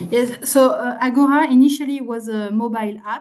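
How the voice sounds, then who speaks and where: A woman speaks in a French accent. The background is quiet. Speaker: public participation official. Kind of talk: presentation and Q&A answer. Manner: halting, many fillers and repeats.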